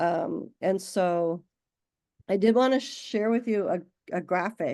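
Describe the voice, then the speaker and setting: A woman's medium-pitched voice with ordinary pitch variation, a very slow pace, and a quiet background. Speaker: science outreach project organizer. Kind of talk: volunteer video meeting. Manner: halting.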